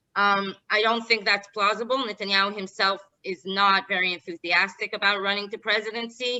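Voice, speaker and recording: A woman speaks with an Israeli accent in a monotone, flat intonation. She leaves hardly any pauses. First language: Hebrew. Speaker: political analyst. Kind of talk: interview. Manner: halting.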